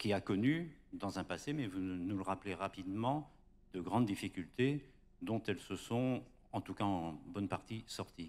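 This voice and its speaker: A man's fairly slow delivery with lively intonation. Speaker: journalist moderator. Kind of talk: moderated panel. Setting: stage with audience. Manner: hesitant. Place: hall. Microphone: handheld.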